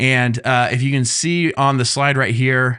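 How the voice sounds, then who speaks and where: A man's bright, sharp-toned voice on a very clean recording with a silent background. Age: 30s. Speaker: YouTube growth coach. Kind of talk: tutorial. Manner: casual, with frequent fillers.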